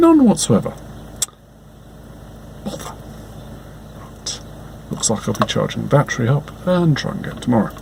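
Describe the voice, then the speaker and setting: Soft-spoken and fairly slow, the voice takes long, frequent pauses and shows big swings in loudness against noticeable background noise. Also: man. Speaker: car owner making a repair update. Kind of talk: casual talk to camera. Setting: outdoors, with wind noise. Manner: soft-spoken, quiet.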